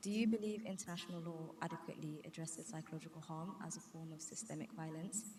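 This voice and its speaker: Heard with audible room echo, a woman speaks at a very fast pace with a fairly low pitch for a woman. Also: ordinary pitch variation, hardly any pauses. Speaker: student audience member. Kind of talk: audience question. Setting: university event with audience.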